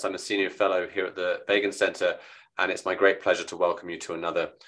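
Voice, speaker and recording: Quiet surrounds the voice. Words move at a fairly quick pace. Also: man. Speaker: senior fellow and event host. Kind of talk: online event host introduction.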